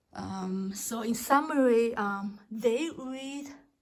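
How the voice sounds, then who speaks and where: With a non-native accent, a woman speaks at a fairly high pitch and fairly even intonation. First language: not English. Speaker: homeschooling mom. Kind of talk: casual talk to camera. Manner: hesitant.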